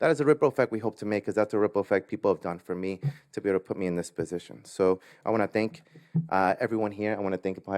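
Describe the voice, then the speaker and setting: A man with a Spanish accent talks very fast at a fairly low pitch with ordinary pitch variation. The sound is dry and close with no echo, and the background is quiet. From Latin America, immigrated to US. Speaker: business owner. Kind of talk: award acceptance speech.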